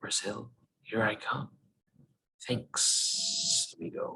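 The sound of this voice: A man drags out his words at a very slow pace in a put-on character voice.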